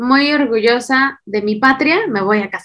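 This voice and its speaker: A woman speaks with a high voice at a moderate pace. Her pitch moves in an ordinary way. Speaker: podcast co-host. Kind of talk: casual chat.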